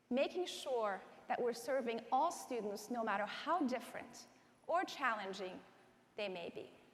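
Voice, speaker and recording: In an American accent, a woman talks at a high pitch, and audible room echo surrounds her voice. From Iran, then rural Southwest Virginia from age 14. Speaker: education advocacy organization president. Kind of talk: keynote speech. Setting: conference stage with audience.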